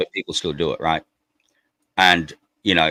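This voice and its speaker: Very deep, low male voice, delivered at a moderate pace. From Australia (Darwin, Northern Territory). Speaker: crypto project representative. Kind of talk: podcast interview. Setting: live stream. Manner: casual, repetitive.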